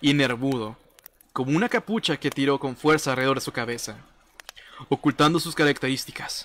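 A man with a fairly high voice speaks in a bright, sharp tone with ordinary pitch variation. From Mexico, Reynosa, Tamaulipas. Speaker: gaming streamer. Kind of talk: casual livestream chat, horror story reading aloud.

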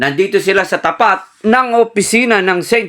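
A man at a very slow pace, bright and sharp in tone. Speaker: field news reporter. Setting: outdoors at a protest outside a company office. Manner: formal, steady, loud and emphatic over the crowd.

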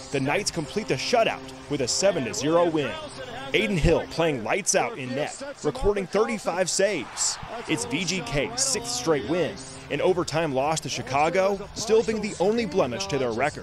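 A man talks at a moderate pace in a fairly high pitch, his voice swinging very widely up and down. Music plays in the background. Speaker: sports reporter. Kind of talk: TV sports news highlight recap, scripted. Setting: TV news package voiceover. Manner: punchy, upbeat, energetic broadcast delivery.

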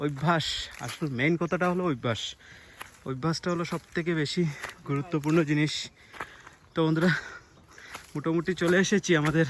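Fairly even intonation in a man's fairly high voice, noticeable background noise behind it. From India, Assam (Karimganj district, Barak Valley). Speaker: vlogger. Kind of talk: vlog walk-and-talk narration. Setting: outdoors, village hills.

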